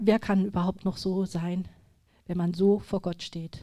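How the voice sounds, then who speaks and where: At a fairly slow pace, a woman with a dark, mellow tone speaks at a medium pitch in a flat monotone. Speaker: lay speaker at church gathering. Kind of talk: personal testimony. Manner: trembling at times; halting.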